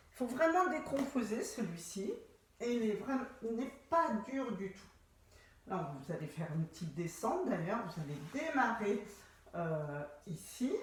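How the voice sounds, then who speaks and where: Very wide pitch swings and big swings in loudness from a woman at a fairly slow pace, with noticeable background noise and audible room echo. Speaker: pilates instructor. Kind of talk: exercise class instruction. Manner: slow, calm guiding.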